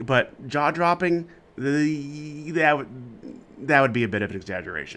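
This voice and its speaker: With lively intonation, a man talks against a quiet background. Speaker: podcast host. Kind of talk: interview for a college baseball podcast. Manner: conversational, hesitant, self-correcting.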